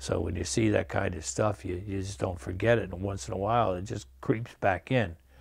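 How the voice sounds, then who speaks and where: In a very clean recording with a silent background, a man with an upstate New York accent speaks fairly quickly with hardly any pauses, his very deep, low voice carrying vocal fry. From upstate New York (Menands, near Albany). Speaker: Vietnam combat veteran. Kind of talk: testimony. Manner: halting.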